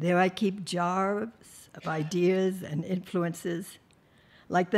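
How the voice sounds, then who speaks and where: Very slowly, a woman delivers her words. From United States. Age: 80s+. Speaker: spa and wellness founder. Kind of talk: conference speech.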